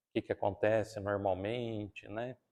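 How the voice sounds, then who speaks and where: At a fairly slow pace, the speaker uses a countryside Brazilian accent, heard against a quiet background with a dry, close sound with no echo. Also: man. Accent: countryside Brazilian accent, strong R. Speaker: spiritist lecturer. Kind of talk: talk at a spiritist centre.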